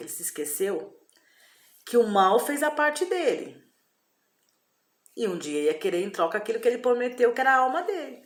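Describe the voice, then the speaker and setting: At a moderate pace, a woman with a fairly high pitch speaks with very wide pitch swings, big swings in loudness, and long, frequent pauses. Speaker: storyteller youtuber. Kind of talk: casual storytelling. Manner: conversational, informal.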